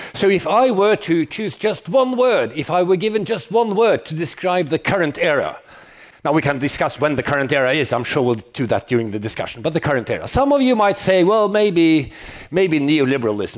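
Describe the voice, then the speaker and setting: High male voice, its pitch swinging very widely. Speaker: professor. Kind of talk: lecture. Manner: fast.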